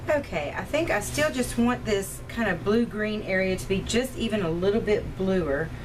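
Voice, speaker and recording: Hardly pausing, a woman with a medium pitch and lively intonation talks at a moderate pace amid noticeable background noise and audible room echo. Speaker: watercolor tutorial creator. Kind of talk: tutorial.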